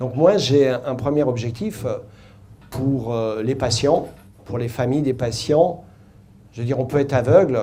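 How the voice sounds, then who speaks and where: A man talks fairly slowly, with long, frequent pauses and a somewhat breathy, dark, mellow tone. His pitch sits in the medium range with ordinary variation, and audible room echo surrounds his voice. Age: 60s. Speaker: patient with retinal disease. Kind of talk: personal testimony. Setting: conference hall with audience.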